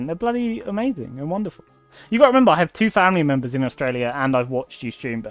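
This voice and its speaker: The speech comes at a very fast pace with music playing in the background. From southern England. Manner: enthusiastic.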